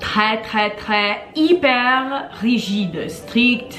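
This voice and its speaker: With a Portuguese accent, a woman speaks at a fairly high pitch with ordinary pitch variation, music in the background and audible room echo. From Brazil, then Connecticut, US from age five. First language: Portuguese (speaking French). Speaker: language blogger. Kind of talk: casual vlog storytelling.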